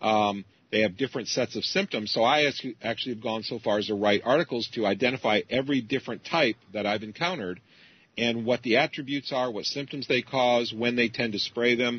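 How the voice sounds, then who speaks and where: A man talks at a fairly quick pace in an ordinary speaking voice, with a medium pitch and ordinary pitch variation. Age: 50s. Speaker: computer programmer and geoengineering researcher. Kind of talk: interview.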